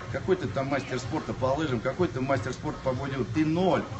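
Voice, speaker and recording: A man talks fairly quickly with ordinary pitch variation, noticeable background noise behind him. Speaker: bodybuilder streamer. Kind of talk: casual live stream storytelling. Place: gym.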